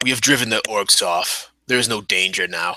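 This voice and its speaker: A man puts on a raspy character voice at medium pitch, speaking at a moderate pace. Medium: actual play. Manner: cold, blunt.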